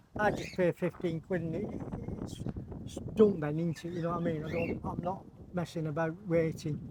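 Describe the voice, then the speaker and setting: Against noticeable background noise, a man speaks at a moderate pace with a high, monotone and flat voice. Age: 70s. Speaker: bird breeder. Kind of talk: casual interview.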